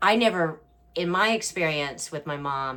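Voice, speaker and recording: This woman speaks with a very deep, low voice. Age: 60s. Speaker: family caregiver, former beauty pageant winner. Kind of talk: casual talk to camera.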